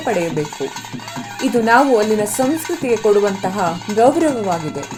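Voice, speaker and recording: With music playing in the background, a woman speaks using very wide pitch swings. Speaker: voice-over artist. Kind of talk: travel documentary narration.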